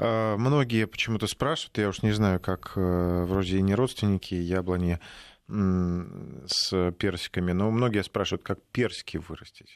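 This man speaks at a moderate pace in a low voice, with ordinary pitch variation.

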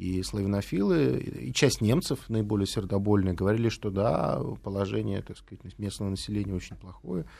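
The voice has a dark, mellow tone and lively intonation, moving at a moderate pace with big swings in loudness. The recording is very clean, with a silent background. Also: man, fairly low pitch for a man. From Latvia, Riga. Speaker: political scientist and former diplomat. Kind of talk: interview.

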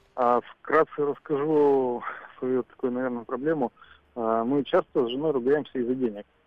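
Using a plain, everyday voice, a man speaks at a medium pitch with fairly even intonation. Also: moderate pace. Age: 40s. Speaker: caller. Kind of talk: phone-in call.

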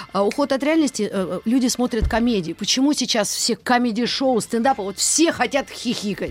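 With hardly any pauses, a woman talks at a moderate pace in a high pitch with ordinary pitch variation. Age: 50s. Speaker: radio host. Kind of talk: casual chat.

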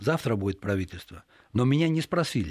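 A man with a normal speaking voice talks at medium pitch and a fairly quick pace with lively intonation. The recording is very clean, with a silent background. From Greece. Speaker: journalist. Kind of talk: radio interview. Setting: radio studio.

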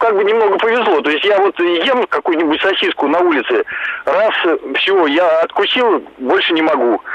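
A man's high-pitched voice with lively intonation, very even loudness and a fairly slow pace, over noticeable background noise. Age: 40s. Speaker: caller. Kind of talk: call-in testimony. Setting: phone call.

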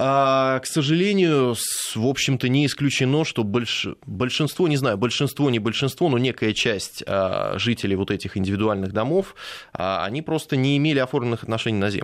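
A man with a normal speaking voice at medium pitch, with lively intonation and a moderate pace. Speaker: lawyer. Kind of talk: radio interview. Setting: studio.

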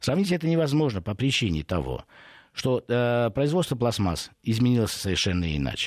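On a very clean recording with a silent background, a man speaks at a fairly quick pace, his pitch swinging very widely. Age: 50s. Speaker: food industry expert. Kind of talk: radio interview. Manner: hesitant, many filler sounds.

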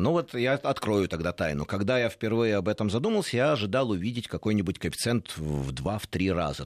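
Moderate pace from a man with a fairly low pitch and very wide pitch swings, in a dry, close sound with no echo. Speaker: motorcycle safety instructor. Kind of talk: live radio interview.

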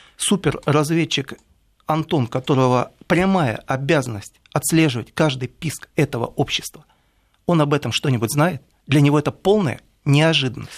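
A man's normal speaking voice, fairly high-pitched, with ordinary pitch variation, a moderate pace and very even loudness, in a dry, close sound with no echo and a very clean recording with a silent background. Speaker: writer and commentator. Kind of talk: radio studio discussion. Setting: radio studio.

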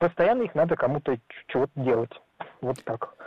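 This man's intonation is lively. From Ulan-Ude, Buryatia, Siberia. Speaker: caller, hunter and fisher. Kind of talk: phone call-in. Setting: phone call. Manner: halting, many fillers.

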